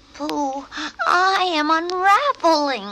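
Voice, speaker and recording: A high-pitched, timid put-on character voice. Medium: read story. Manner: timid, fretful.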